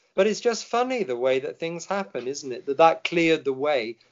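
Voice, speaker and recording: In an English accent, a man speaks at a high pitch with lively intonation. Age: 60s. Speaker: Anglican vicar. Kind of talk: personal testimony in interview.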